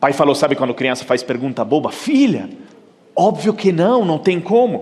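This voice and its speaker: Over noticeable background noise, a man with an Italian accent talks at a fairly quick pace, his pitch swinging very widely. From Italy. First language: Italian (speaking Portuguese). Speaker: keynote speaker. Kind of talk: conference talk.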